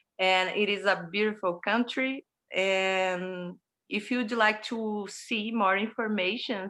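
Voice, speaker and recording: At a very slow pace, a woman with a Portuguese accent speaks in a bright, sharp tone with ordinary pitch variation, in a very clean recording with a silent background. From Brazil. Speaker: horror film producer and director. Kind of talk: interview. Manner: halting.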